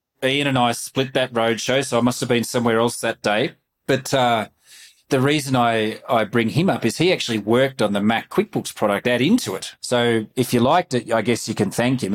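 On a very clean recording with a silent background, a man with an Australian accent speaks fairly quickly at a medium pitch, with ordinary pitch variation and very even loudness. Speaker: podcast host and company CEO. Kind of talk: casual interview.

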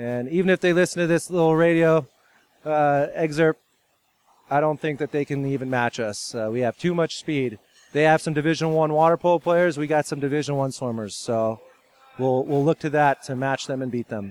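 A man with an American accent talks at a moderate pace in a fairly high voice with ordinary pitch variation, a normal speaking voice, the sound dry and close with no echo. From California. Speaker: water polo head coach. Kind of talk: interview.

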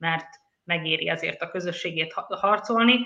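At a fairly quick pace, a woman is talking. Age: 40s. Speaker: journalist. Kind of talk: panel discussion. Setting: studio.

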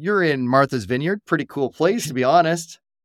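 With a Canadian accent, a man uses an unremarkable speaking voice, fairly high in pitch and lively in intonation, at a fairly quick pace with a dry, close sound and no echo. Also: very clean recording, silent background. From Canada. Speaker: podcast host and entrepreneur. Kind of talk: casual interview chat.

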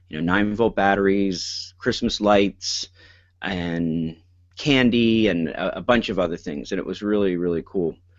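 An ordinary speaking voice with ordinary pitch variation. The pace is fairly slow. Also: man, fairly low pitch for a man. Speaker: school principal and podcast co-host. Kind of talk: casual chat. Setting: online call.

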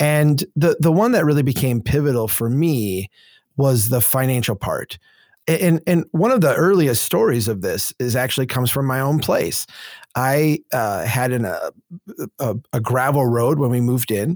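In a very clean recording with a silent background, the speaker talks at a moderate pace with lively intonation and an Upper Midwest accent. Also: man, medium pitch for a man, dry, close sound with no echo. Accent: Upper Midwest American. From central Minnesota. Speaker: urban planning advocate and former engineer. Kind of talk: interview conversation.

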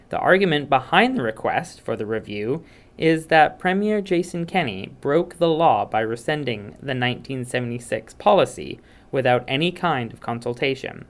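This man has a normal speaking voice, a fairly high pitch and lively intonation, delivered at a moderate pace. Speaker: news segment reporter. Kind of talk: scripted radio news report. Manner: formal, even, informative.

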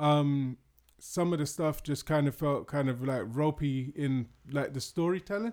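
Speaking with a British accent, a man talks at a moderate pace in a fairly high voice with ordinary pitch variation. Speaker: podcast co-host. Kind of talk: casual chat.

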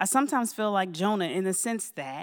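A woman speaks with an American accent at a medium pitch and moderate pace. Her intonation is lively, and the recording is very clean with a silent background. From US Mid-Atlantic, Baltimore, Maryland. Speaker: church speaker, teacher and business owner. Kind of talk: testimony.

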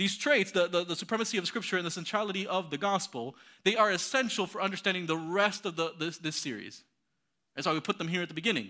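Very fast and raised to a projected level, a man's high-pitched voice has a bright, sharp tone and ordinary pitch variation on a very clean recording with a silent background. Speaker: pastor. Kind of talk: sermon. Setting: church. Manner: fast talker; halting, repeats words.

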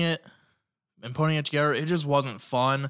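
In a very clean recording with a silent background, a man with a fairly high pitch talks at a moderate pace, his intonation fairly even. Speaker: student podcast host. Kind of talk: casual solo monologue. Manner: filler-heavy, many ums and uhs.

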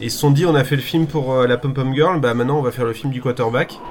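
Noticeable background noise fills the recording. A man speaks through it, his pitch varying in an ordinary way. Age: 40s. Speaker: film podcast co-host. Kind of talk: casual chat. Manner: halting.

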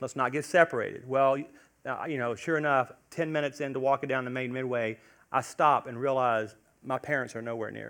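Against a quiet background, a man with a plain, everyday voice and medium pitch speaks at a fairly quick pace with fairly even intonation. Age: 40s. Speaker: pastor. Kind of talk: sermon. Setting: church.

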